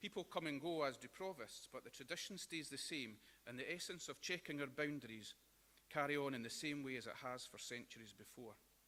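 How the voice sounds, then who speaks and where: A man in a West Lothian accent, fairly high in pitch, bright and sharp in tone, with ordinary pitch variation at a fairly quick pace. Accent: Scottish (West Lothian). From Scotland, Linlithgow. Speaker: celebrant, after-dinner speaker. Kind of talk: after-dinner speech. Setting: breakfast hall with audience.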